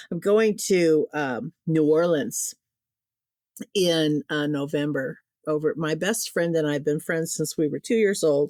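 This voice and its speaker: A woman in an American accent at a fairly low pitch, with ordinary pitch variation and a fairly slow pace, in a dry, close sound with no echo. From US Midwest, Quad Cities (Illinois/Iowa). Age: 60s. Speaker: writer and paranormal storyteller. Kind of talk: casual chat.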